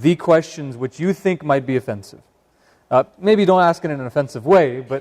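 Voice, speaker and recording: A man with a Northern California accent speaks at a moderate pace in a fairly high voice with ordinary pitch variation. The sound is dry and close, with no echo. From Northern California, Sacramento. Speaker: imam. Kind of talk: public talk. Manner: hesitant, many fillers.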